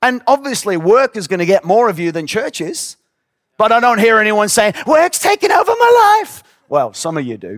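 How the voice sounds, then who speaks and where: A man speaks at a moderate pace. The sound is close and dry, free of echo. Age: 50s. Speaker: pastor. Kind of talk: sermon. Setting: church with audience.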